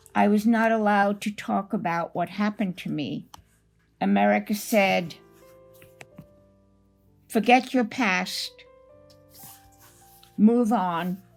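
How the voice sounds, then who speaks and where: A woman's very slow voice with long, frequent pauses and music in the background. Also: medium pitch for a woman, ordinary pitch variation. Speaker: Holocaust survivor, author and speaker. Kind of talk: personal testimony.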